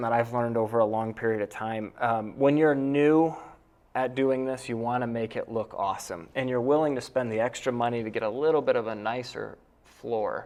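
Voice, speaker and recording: In an American accent, an unremarkable speaking voice moves at a moderate pace with ordinary pitch variation. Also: man. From upstate New York (near Cooperstown). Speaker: real estate investor and realtor. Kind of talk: round table discussion.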